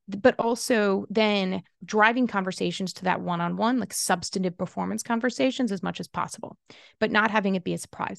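A woman with an unremarkable speaking voice talks at a fairly quick pace and medium pitch with ordinary pitch variation, in a dry, close sound with no echo against a quiet background. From Kentucky, US South. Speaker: employment lawyer and HR consultant. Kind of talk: interview.

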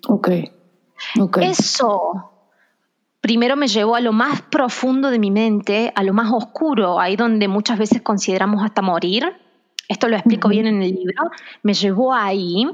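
Speaking with an ordinary speaking voice, a woman keeps her loudness very even, talking at a fairly slow pace with a fairly high pitch and ordinary pitch variation. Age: 30s. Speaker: physiotherapist and author. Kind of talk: interview testimony.

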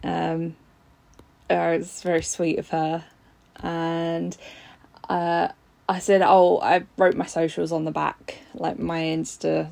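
Speaking in a London accent, a woman talks at a very slow pace with long, frequent pauses. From Southeast London. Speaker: fan. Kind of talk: recorded testimony.

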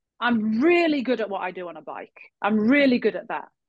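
Somewhat breathy and fairly high, a woman's voice makes very wide pitch swings. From England. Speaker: health coach and spin instructor. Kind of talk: casual chat.

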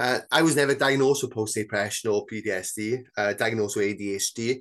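In a South Wales Valleys accent, a man speaks at a medium pitch with ordinary pitch variation over a quiet background. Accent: South Wales Valleys Welsh English. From Wales, South Wales Valleys (Bridgend). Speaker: author and mental health campaigner. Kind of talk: casual interview chat. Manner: hesitant, many fillers.

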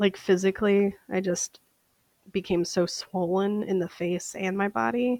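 A woman with an American accent speaks in an unremarkable speaking voice at a medium pitch, with ordinary pitch variation and a fairly slow pace. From Minnesota. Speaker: vox pop interviewee. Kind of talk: casual interview answer.

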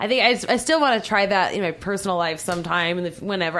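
A woman in a slight Southern US accent talks with vocal fry and lively intonation. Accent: slight Southern drawl. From Southern California. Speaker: adult film performer. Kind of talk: casual chat. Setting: radio studio.

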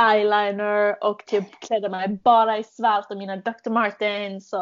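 The speech moves at a fairly slow pace with flat, monotone intonation. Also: woman. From Sweden, Malmö. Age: 20s. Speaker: podcast host, au pair. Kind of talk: casual chat.

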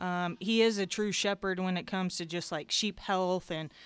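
A woman with a normal speaking voice and an American accent, medium pitch, ordinary pitch variation and a moderate pace, in a very clean recording with a silent background. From southern Indiana, near Louisville. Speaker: show lamb breeder. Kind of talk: casual interview.

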